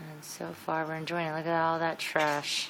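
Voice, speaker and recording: A woman's very deep, low-pitched voice at a moderate pace, with audible room echo. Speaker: homeowner giving a house tour. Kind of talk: casual home video walkthrough. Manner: casual, rambling narration.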